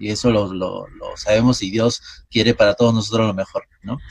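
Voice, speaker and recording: A man with an unremarkable speaking voice talks at a medium pitch and a moderate pace, his intonation fairly even. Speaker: radio host. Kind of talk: interview.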